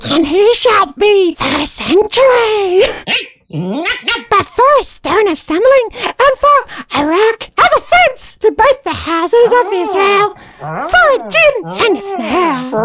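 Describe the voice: An extremely high, gravelly put-on character voice delivers its lines at a fairly slow pace.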